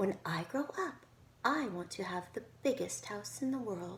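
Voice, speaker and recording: A put-on character voice, female-sounding and at medium pitch for a woman, at a moderate pace amid clear background noise. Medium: read story.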